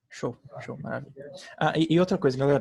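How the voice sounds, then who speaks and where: Talking at a very fast pace, a man uses a fairly high pitch. His voice is somewhat breathy. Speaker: student tutor. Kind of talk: lecture. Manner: casual, halting.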